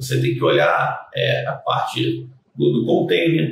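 A man's voice with audible room echo. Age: 30s. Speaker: generator technician and sales manager. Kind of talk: casual interview.

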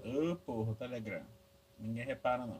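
A man speaks at a medium pitch with lively intonation. Noticeable background noise can be heard. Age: 20s. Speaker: podcast host. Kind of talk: casual solo monologue. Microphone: laptop recording, noisy audio.

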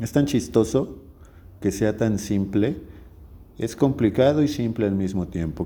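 This man talks at a fairly slow pace, his pitch medium with ordinary variation. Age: 30s. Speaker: podcast host. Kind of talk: solo monologue podcast. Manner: casual, with hesitations.

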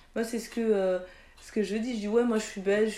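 A woman's dark, mellow voice at medium pitch, with audible room echo. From France, Toulouse (Mirail), Chadian parents. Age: 40s. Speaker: physiotherapist. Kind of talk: interview.

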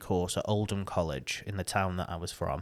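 A man with a northern English accent on a very clean recording with a silent background. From northern England. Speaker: podcaster and radio professional. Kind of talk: casual interview chat. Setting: studio.

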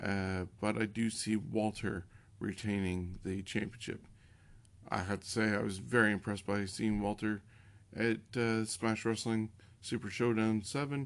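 A man's normal speaking voice, fairly low in pitch, at a fairly slow pace with fairly even intonation. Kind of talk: wrestling preview and predictions, not live commentary.

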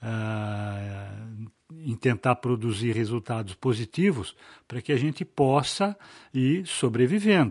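A somewhat breathy man's voice of medium pitch with lively intonation, a very slow pace, a dry, close sound with no echo and a quiet background. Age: 60s. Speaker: business lawyer. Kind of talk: casual interview chat. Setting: office set up as studio.

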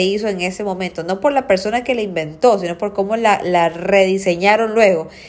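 A woman's animated voice at medium pitch, with ordinary pitch variation and a moderate pace. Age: 30s. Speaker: nutritionist podcast host. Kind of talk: solo educational podcast.

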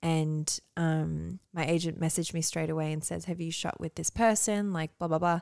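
A woman with an Australian accent and a fairly low pitch, fairly even intonation, and a dry, close sound with no echo. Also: moderate pace, very clean recording, silent background. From Australia (moved from Canada at eight, country town). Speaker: model. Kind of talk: casual chat.

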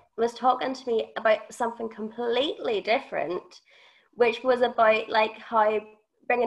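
A woman speaks at a moderate pace. Her voice is fairly high, with fairly even intonation. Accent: Northern Irish. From Northern Ireland. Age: 20s. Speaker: podcast co-host. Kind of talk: testimony.

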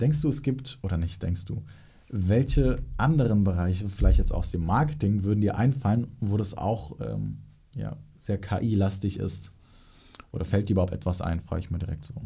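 Using an ordinary speaking voice, a man talks at a fairly low pitch and a moderate pace with lively intonation. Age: young. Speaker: podcast host, marketing agency. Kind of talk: interview.

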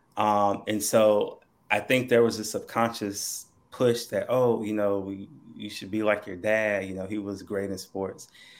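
A man with a North Carolina accent speaks fairly slowly in a fairly low, monotone, flat voice, his loudness swinging widely. The recording is very clean, with a silent background. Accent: Southern US, North Carolina. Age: 30s.

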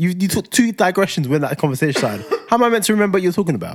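A man speaks in a high pitch with lively intonation. The recording is very clean, with a silent background. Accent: London. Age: 30s. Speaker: podcast co-host. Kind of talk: casual chat. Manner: animated.

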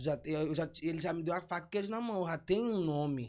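At a moderate pace, a man's pitch swings very widely against a quiet background. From São Luís, Maranhão, Brazil. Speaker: digital influencer. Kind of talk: casual interview chat.

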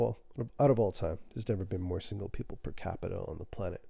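A man speaks at a very fast pace in a fairly low pitch. His tone is dark and mellow, and somewhat breathy. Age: 30s. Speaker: podcast host. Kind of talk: casual monologue.

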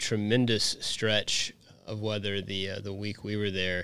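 A man with an American accent speaks in a plain, everyday voice at a moderate pace. His pitch is fairly low, and the recording is very clean with a silent background. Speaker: podcast host. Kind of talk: casual chat.

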